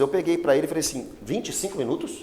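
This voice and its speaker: His pitch is high, and this man speaks with a lively, varied melody. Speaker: pastor. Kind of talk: Bible study teaching. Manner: animated.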